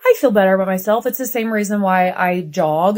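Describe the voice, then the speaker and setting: A woman with an American accent uses an unremarkable speaking voice, medium in pitch, with ordinary pitch variation and a moderate pace. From US Midwest. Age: 40s. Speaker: TV host and journalist. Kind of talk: casual chat.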